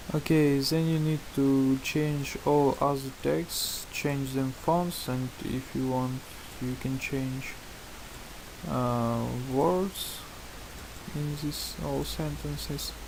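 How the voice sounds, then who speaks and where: Noticeable background noise can be heard. Over it, a man speaks at a very slow pace. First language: not English. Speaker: tutorial maker. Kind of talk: tutorial. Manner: halting, many fillers.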